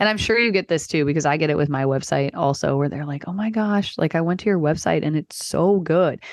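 A woman's very deep, low voice, fairly quick with hardly any pauses and ordinary pitch variation. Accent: American. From Texas. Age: 30s. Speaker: marketing consultant. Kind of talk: casual chat. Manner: many filler words.

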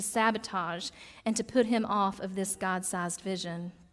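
A woman's fairly slow delivery in a Southern US accent, on a very clean recording with a silent background. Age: 30s. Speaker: pastor. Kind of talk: sermon. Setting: church.

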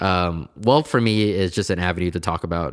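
A man with an American accent speaks at a very deep, low pitch with ordinary pitch variation. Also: very clean recording, silent background. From Portland, Oregon. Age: 20s. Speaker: entrepreneur. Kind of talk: casual interview. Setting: small echoey room at library.

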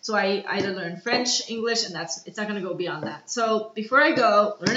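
Over noticeable background noise, a woman talks in an animated tone. Her medium pitch rides on lively intonation. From Canada and Austria (Toronto, Vienna). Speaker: illustrator and art director. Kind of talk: casual chat.

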